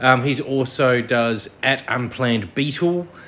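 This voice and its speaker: A man with an Australian accent speaks at medium pitch. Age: 40s. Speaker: podcast host. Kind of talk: casual chat.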